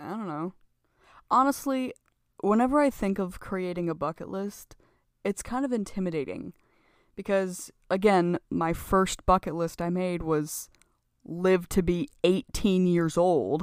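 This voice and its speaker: In an American accent, a woman talks at a fairly slow pace with lively intonation, a plain, everyday voice, at medium pitch. The recording is very clean, with a silent background. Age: 20s. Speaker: podcast guest. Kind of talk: casual chat.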